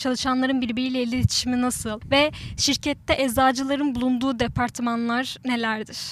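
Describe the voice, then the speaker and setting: At a high pitch and moderate pace, a woman speaks with monotone, flat intonation and hardly any pauses. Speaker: student podcast host. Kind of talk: interview.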